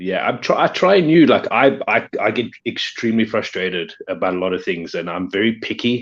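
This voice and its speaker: A man with a South African accent at a moderate pace over a quiet background. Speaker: pop figure collector and video creator. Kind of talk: casual chat.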